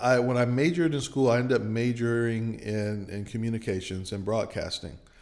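A man with an American accent, a normal speaking voice, medium pitch and moderate pace. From Michigan. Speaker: storyteller. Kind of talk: interview. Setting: on location at an arts venue.

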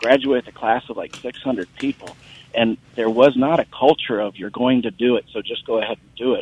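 An American accent at a fairly quick pace, with big swings in loudness. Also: man, medium pitch for a man. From Ohio, US Midwest. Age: 50s. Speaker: caller. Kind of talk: call-in comment. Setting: phone call. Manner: animated.

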